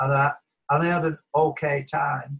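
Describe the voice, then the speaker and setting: A man with a Lancashire accent speaks in a fairly high, somewhat breathy voice with monotone, flat intonation. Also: quiet background. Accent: northern English (Lancashire). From Wigan, northern England; northern England. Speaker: academic, former language teacher; former language teacher. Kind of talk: personal story in webinar. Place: home room. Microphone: webcam.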